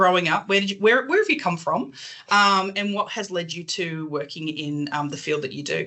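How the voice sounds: A woman talks at a fairly quick pace. Her tone is bright and sharp, with a fairly low pitch.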